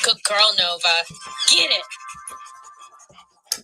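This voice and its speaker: A woman's put-on character voice at a fairly low pitch, with faint music in the background. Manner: encouraging, playful.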